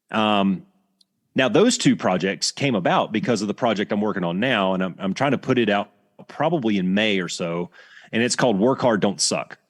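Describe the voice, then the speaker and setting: With ordinary pitch variation and a fairly low pitch, a man talks at a moderate pace on a very clean recording with a silent background. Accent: Southern US. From US South, Alabama. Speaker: retired fighter pilot instructor. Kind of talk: podcast interview. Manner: casual, halting with restarts.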